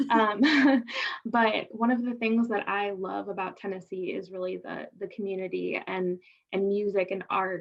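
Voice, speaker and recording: At a fairly slow pace, a woman with a northern US accent speaks in a medium pitch with ordinary pitch variation. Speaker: health department program representative. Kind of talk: online information session Q&A. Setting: video call.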